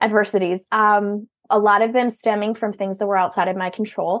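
Against a quiet background, a woman with a strong Minnesotan accent speaks at a moderate pace. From Minnesota, US Midwest. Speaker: virtual business owner serving entrepreneurs. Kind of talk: casual interview conversation.

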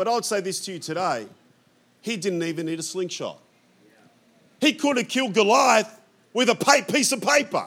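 In an Australian accent, a man speaks with a bright, sharp, animated tone and lively intonation at a high pitch. His pace is moderate, broken by long, frequent pauses. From Australia, European immigrant family. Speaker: pastor. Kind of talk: sermon. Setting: church.

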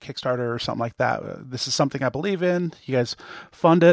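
Pitch varies in an ordinary way, and the sound is dry and close with no echo. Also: man. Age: 40s. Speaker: startup founder and software developer. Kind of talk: casual interview. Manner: halting, many fillers and repeats.

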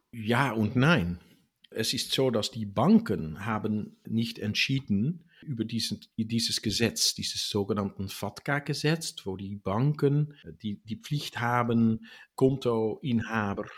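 On a very clean recording with a silent background, a man with a Dutch accent speaks at medium pitch and a fairly slow pace with ordinary pitch variation. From Netherlands. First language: Dutch (speaking German). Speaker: tax expert on US citizens abroad. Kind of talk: interview. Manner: halting.

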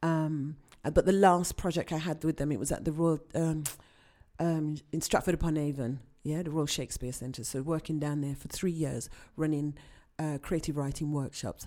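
A woman's very deep, low voice, dark and mellow in tone, with fairly even intonation at a moderate pace on a very clean recording with a silent background. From Birmingham, England, Jamaican parents. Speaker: poet and TV presenter. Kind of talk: interview.

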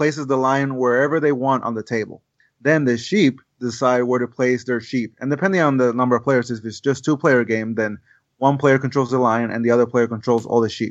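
Against a quiet background, a man speaks with a Spanish accent. His intonation stays fairly even. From Puerto Rico. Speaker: board game designer. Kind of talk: casual chat. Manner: halting.

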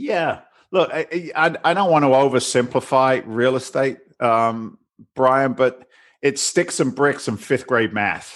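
The speaker has an ordinary speaking voice with ordinary pitch variation. The pace is fairly slow, and the background is quiet. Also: man, medium pitch for a man. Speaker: real estate investor. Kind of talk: casual interview.

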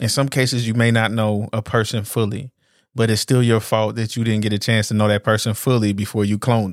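On a very clean recording with a silent background, a man speaks fairly quickly at a medium pitch in a monotone, flat intonation. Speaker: podcast co-host. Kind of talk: casual chat.

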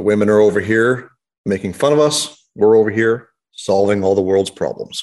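A man talks at a fairly low pitch and a moderate pace. He has a normal speaking voice with fairly even intonation. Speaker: podcast host. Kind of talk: casual banter about cars.

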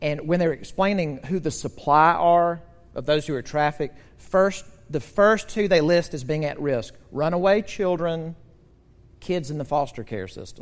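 A man talks at a moderate pace in a plain, everyday voice. His pitch sits fairly high, with ordinary variation. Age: 50s. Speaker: pastor. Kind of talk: sermon.

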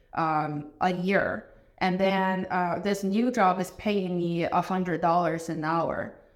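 In a Chinese accent, a woman speaks at a medium pitch. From China. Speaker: business owner, ERP consultant. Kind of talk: casual interview conversation.

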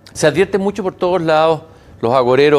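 A man's unremarkable speaking voice at a fairly quick pace, with ordinary pitch variation. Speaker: TV interviewer. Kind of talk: interview. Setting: studio with live broadcast.

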